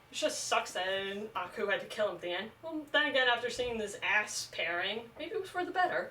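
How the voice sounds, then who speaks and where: Over noticeable background noise, a woman speaks at a high pitch with very wide pitch swings. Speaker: video commentator. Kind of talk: casual rant. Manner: halting, stutters and repeats words.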